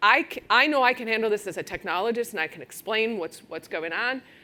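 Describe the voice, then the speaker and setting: Fairly quick speech from a woman with a Wisconsin accent, a bright, sharp tone and ordinary pitch variation, on a very clean recording with a silent background. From Wisconsin, US Midwest. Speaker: technology executive at a law firm. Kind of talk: conference talk. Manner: casual, many fillers.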